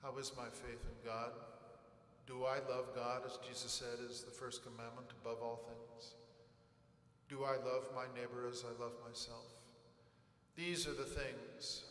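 A man at a fairly slow pace, monotone and flat, with long, frequent pauses and audible room echo. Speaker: priest. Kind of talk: funeral homily. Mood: calm, consoling, reflective. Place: church.

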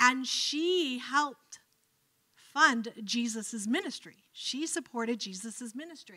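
A woman speaks very slowly in a high, bright, sharp voice with lively intonation and an American accent. The background is quiet. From Cleveland, Ohio, US; Ohio. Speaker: professor of religious studies; guest lecturer. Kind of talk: lecture. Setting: lecture hall with audience. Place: hall. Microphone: handheld.

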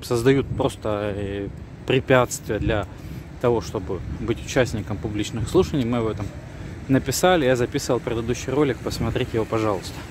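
Noticeable background noise surrounds a man speaking at a moderate pace in a dry sound with no echo. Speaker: civic activist video blogger. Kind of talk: video commentary. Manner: hesitant with fillers. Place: street. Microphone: phone near.

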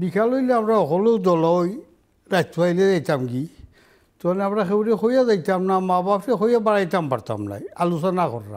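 A man speaks in a high voice with lively intonation. The background is quiet. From Bangladesh, Sunamganj (Sylhet region); Bangladesh. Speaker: war veteran; interview guest. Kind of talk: interview. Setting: studio. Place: studio.

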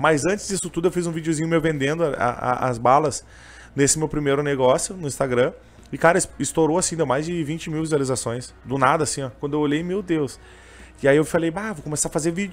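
Male voice, fairly high in pitch, fairly quick in pace, with ordinary pitch variation. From southern Brazil, Canoas (Rio Grande do Sul); Rio Grande do Sul, Brazil. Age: 20s. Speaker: street vendor and gospel singer; street vendor. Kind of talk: interview conversation. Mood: emotional, earnest storytelling. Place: studio. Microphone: studio mic.

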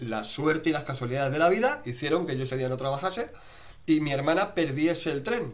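Using an ordinary speaking voice, a man talks at a fairly quick pace with lively intonation and a fairly high pitch. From Spain, Madrid. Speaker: livestream host. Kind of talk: casual interview chat. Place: home room. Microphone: webcam.

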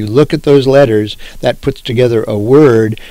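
A man talks with fairly even intonation. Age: 60s. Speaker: professor. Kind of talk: lecture. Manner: halting.

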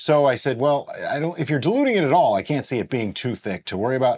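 Very fast and with lively intonation, a man speaks. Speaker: home winemaking channel host. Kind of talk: tutorial. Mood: playful, puzzled. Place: home room.

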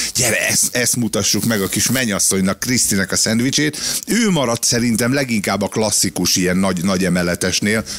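A man talks in an unremarkable speaking voice, fairly low in pitch with ordinary pitch variation. He keeps a fairly quick pace with hardly any pauses and very even loudness. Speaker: radio co-host. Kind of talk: casual chat. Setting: studio. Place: studio. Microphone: studio mic.

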